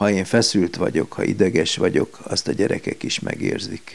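A man talks at a moderate pace with a fairly low pitch. His intonation stays fairly even. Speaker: paediatrician. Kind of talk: interview. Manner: hesitant, with fillers.

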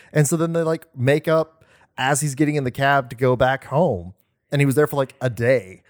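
A plain, everyday voice with an American accent and ordinary pitch variation comes through a very clean recording with a silent background and a dry, close sound with no echo. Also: man, fairly high pitch for a man, moderate pace. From Oklahoma. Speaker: podcast co-host. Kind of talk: casual chat.

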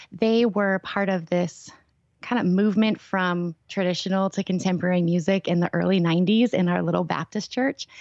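A plain, everyday voice: a woman at medium pitch speaks at a moderate pace with very even loudness, recorded dry and close with no echo against a quiet background. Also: fairly even intonation. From Minnesota. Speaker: worship leader and mentor. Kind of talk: interview, personal testimony. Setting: phone call.

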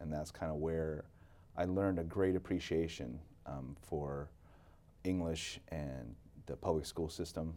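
A man's very deep, low voice with an American accent, dark and mellow in tone, fairly slow, with fairly even intonation and long, frequent pauses. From Seattle area, Washington (arrived age 5 from the Philippines). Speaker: education consultant. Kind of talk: interview. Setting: studio.

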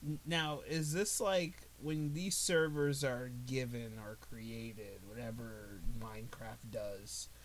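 Lively intonation at a very slow pace, with hardly any pauses and audible room echo. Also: man, medium pitch for a man. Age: 20s. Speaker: podcast co-host. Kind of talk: casual chat. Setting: recording in a bedroom.

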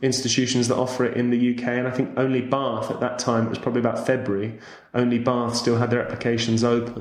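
The speaker has a southern English accent and a monotone, flat intonation. Audible room echo and noticeable background noise are present. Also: man. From southern England, Winchester. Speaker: interpreter and football commentator. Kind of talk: casual interview.

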